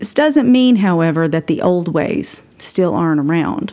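With an Appalachian accent, a woman speaks in a fairly low pitch. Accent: Appalachian Southern US. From Appalachia, Tennessee. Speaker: podcast host. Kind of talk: scripted narration, personal storytelling.

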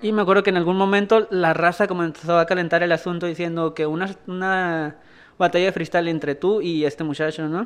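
Over a quiet background, the words come at a fairly quick pace. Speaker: podcast host and interviewer. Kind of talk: casual interview. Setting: small snack shop.

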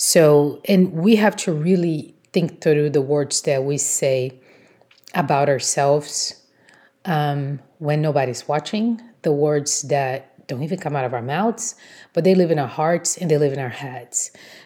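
A woman with a Portuguese accent speaks at a fairly slow pace in a very deep, low pitch, her tone dark and mellow and her pitch variation ordinary. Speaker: blogger and podcast host. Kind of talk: motivational solo talk.

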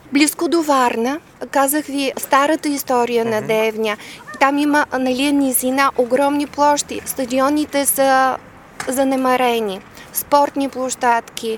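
Against noticeable background noise, a woman speaks at a high pitch. Her pace is fairly slow and her intonation fairly even. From Bulgaria, Devnya near Varna. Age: 50s. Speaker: speech therapist and civic activist. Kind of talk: interview.

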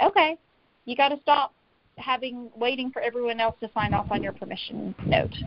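This woman has an ordinary speaking voice and an American accent, talking at a moderate pace with ordinary pitch variation. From US South, Tennessee. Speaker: author and coach on personal integrity. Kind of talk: interview conversation.

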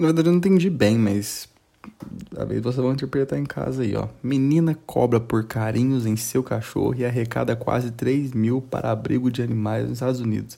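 Fairly quick and at medium pitch, a man speaks in a dark, mellow tone. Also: ordinary pitch variation. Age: 20s. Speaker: news podcast host. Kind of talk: casual comedic news commentary. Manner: animated.

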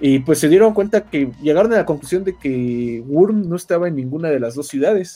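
With a Mexican accent and a dark, mellow tone, a man talks at a fairly high pitch with lively intonation and hardly any pauses. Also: fairly quick pace. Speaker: podcast narrator. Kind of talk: lore storytelling narration. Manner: filler-heavy casual.

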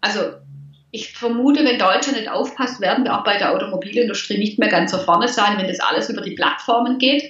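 Fairly high-pitched and fairly quick, a woman talks with ordinary pitch variation amid audible room echo and noticeable background noise. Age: 50s. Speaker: money mindset coach. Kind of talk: interview.

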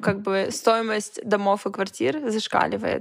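At a fairly slow pace, a woman talks in a fairly high pitch. The recording is very clean with a silent background. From Russian Far East, Vladivostok. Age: 20s. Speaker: stylist and event organizer. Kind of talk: casual chat. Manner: animated.

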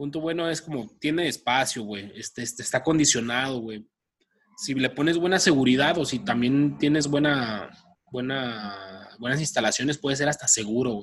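The speaker is a man with a Mexican accent. He talks at a moderate pace. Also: medium pitch for a man, ordinary pitch variation. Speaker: podcast co-host. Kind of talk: casual chat. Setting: recording from home.

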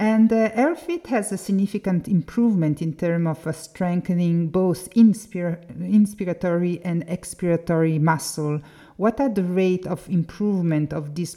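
Fairly low in pitch, a woman speaks in a dark, mellow tone at a moderate pace with ordinary pitch variation and hardly any pauses. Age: 40s. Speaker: podcast host. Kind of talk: interview. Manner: halting.

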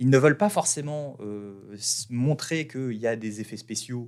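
A man speaks at a medium pitch and a fairly slow pace with ordinary pitch variation, recorded very cleanly against a silent background. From France. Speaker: podcast host, branding entrepreneur. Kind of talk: casual monologue. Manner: hesitant, many fillers.

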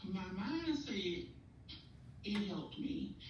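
A woman's lively intonation amid noticeable background noise and audible room echo. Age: 40s. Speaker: guest sharing mental health experience. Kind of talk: testimony.

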